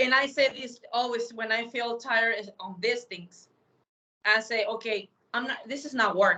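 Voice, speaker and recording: A woman with a fairly high pitch and a bright, sharp tone speaks at a moderate pace with fairly even intonation. Her loudness swings widely. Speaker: radio and podcast host. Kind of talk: casual chat.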